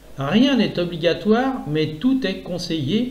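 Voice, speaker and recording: A man speaks at a very slow pace with very wide pitch swings. Noticeable background noise is present. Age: 60s. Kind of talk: reading of own essay on economics.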